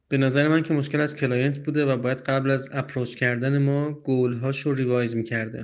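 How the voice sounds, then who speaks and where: This man's medium-pitched voice stays monotone and flat while he talks at a moderate pace. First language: Persian. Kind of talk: recorded voice message.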